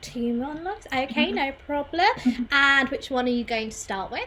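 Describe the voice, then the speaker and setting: Using a raised, projected voice, a woman with a high pitch speaks at a moderate pace in an upbeat tone with ordinary pitch variation. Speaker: co-founder of theatre company, live stream host. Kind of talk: live stream MC hosting.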